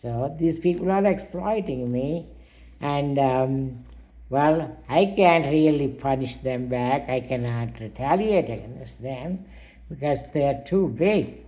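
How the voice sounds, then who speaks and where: A very slow male voice, fairly high in pitch and dark and mellow in tone, with audible room echo. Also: ordinary pitch variation. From India, Telugu. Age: 80s+. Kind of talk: personal monologue. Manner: halting, many fillers.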